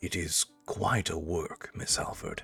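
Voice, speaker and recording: A man's resonant put-on character voice, very deep and low, at a fairly slow pace over music in the background. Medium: game stream. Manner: formal, courteous.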